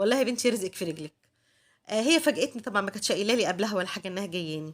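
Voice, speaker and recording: On a very clean recording with a silent background, a woman at medium pitch talks at a very fast pace. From Egypt. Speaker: homemaker vlogger. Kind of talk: casual vlog narration.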